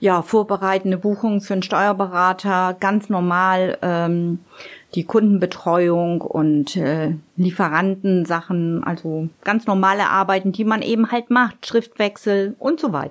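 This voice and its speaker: Here a woman uses an ordinary speaking voice at a medium pitch with ordinary pitch variation. Her pace is fairly slow. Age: 50s. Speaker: office clerk. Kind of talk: casual interview.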